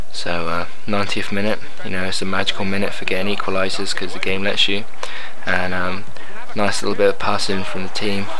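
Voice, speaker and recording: Amid noticeable background noise, a man with a very deep, low pitch talks at a fairly quick pace in a monotone, flat delivery with very even loudness. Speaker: gaming commentator. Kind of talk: video game commentary. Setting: recorded late at night. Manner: whispered. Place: home room.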